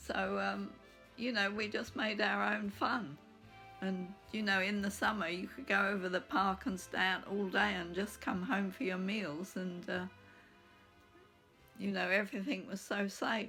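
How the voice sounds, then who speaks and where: In an English accent, a woman speaks at a fairly slow pace in a medium pitch with ordinary pitch variation. Music plays in the background. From England. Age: 80s+. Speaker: blogger. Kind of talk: casual talk to camera.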